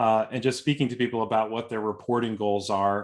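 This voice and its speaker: Fairly low-pitched male voice with a Boston accent. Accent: thick Boston. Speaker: software consultant and speaker. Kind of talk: webinar presentation. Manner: informal.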